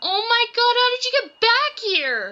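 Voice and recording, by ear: A woman's put-on character voice, extremely high in pitch, with a bright, sharp tone and big pitch swings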